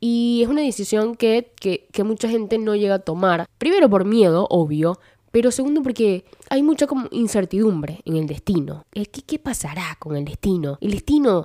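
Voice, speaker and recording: A woman's fairly high voice, dark and mellow in tone, with very wide pitch swings, a moderate pace, and a dry, close sound free of echo. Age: 20s. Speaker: podcast host. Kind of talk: casual monologue. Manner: halting.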